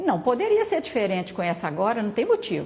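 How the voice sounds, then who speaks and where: A woman speaks with a fairly high pitch. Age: 70s. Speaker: vaccine trial volunteer. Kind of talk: interview.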